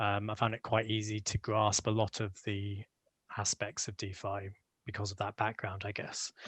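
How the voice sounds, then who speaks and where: In a British accent, a man talks at a moderate pace with monotone, flat intonation and fairly low pitch, the sound dry and close with no echo over a quiet background. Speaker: crypto project contributor. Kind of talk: podcast interview. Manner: hesitant, many fillers.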